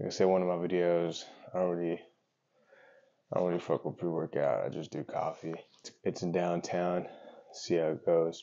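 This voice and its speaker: Against a quiet background, a man speaks in a very deep, low voice at a moderate pace. His intonation is monotone and flat, with long, frequent pauses. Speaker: vlogger. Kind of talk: casual vlog chat. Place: kitchen. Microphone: lapel.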